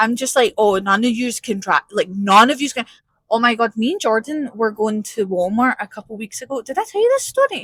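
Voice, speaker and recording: With a Scottish central belt accent, a woman speaks at a fairly high pitch in a dry, close sound with no echo. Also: ordinary pitch variation. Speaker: vlogger. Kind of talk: casual chat. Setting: in a car. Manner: animated.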